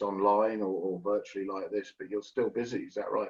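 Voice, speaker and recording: This man talks at a middling tempo. He has a British accent. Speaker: webinar host. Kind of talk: webinar moderation.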